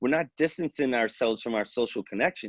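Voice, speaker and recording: In a New York accent, a man talks very fast at a medium pitch, animated in tone and lively in intonation, the sound dry and close with no echo. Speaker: police wellbeing expert. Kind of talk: webinar presentation.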